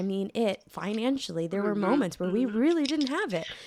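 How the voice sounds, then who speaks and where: A woman uses an ordinary speaking voice, pitched medium and delivered at a moderate pace. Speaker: podcast host. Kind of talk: podcast interview, casual talk.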